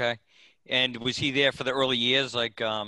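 In a Boston accent, a man talks at a moderate pace and medium pitch with fairly even intonation. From Boston, Massachusetts. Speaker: podcast host. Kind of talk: casual interview.

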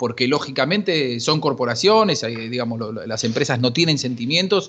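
A man's normal speaking voice, fairly quick, with lively intonation. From Argentina, Buenos Aires western suburbs. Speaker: sports journalist. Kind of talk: casual chat.

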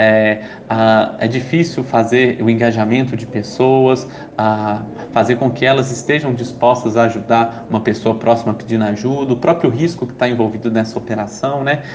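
Over noticeable background noise and audible room echo, a man talks at a moderate pace. His pitch is medium and his intonation fairly even. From Brazil, Belo Horizonte (Minas Gerais). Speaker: startup entrepreneur and social activist. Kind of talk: interview. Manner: hesitant, many fillers.

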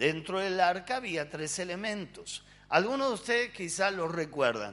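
A man speaks with a Rioplatense accent, his pitch high. His intonation is lively. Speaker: pastor. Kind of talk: sermon.

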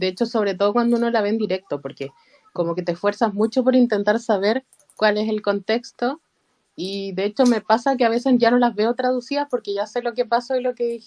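In a dry, close recording with no echo, a woman with a Chilean accent talks at a fairly high pitch with ordinary pitch variation. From Chile, Santiago. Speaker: fan. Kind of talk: casual group chat.

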